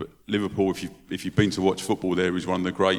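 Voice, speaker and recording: Very deep and low in pitch, a man speaks in a London accent with monotone, flat intonation. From London, England. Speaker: football club charity head. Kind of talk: panel discussion. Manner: hesitant, with filler words and repetitions.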